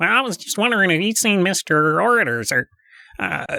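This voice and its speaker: A put-on character voice at a middle pitch and a fairly quick pace. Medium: solo performance. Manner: hesitant, stammering, deferential.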